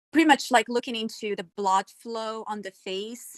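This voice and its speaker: A woman with a non-native accent, fairly high pitch, ordinary pitch variation and a fairly slow pace, in a dry, close sound with no echo. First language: not English. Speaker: self-taught cybersecurity panelist. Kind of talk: casual panel discussion.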